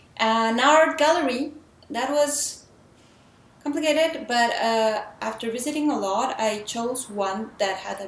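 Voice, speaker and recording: With audible room echo, a woman speaks at a very slow pace in a fairly high pitch, her intonation lively. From Mexico. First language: Spanish. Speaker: filmmaker. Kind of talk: casual vlog talk. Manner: halting, with fillers.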